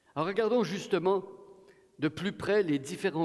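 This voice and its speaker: A man's high voice carries lively intonation while he keeps a moderate pace. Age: 60s. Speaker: guest preacher. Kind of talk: sermon. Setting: church.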